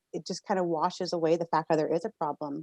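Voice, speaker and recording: Recorded dry and close with no echo, a woman speaks at a fairly low pitch with ordinary pitch variation. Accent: Canadian. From Canada, Victoria BC. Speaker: financial officer, activist. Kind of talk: podcast interview. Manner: halting, many fillers and repeats.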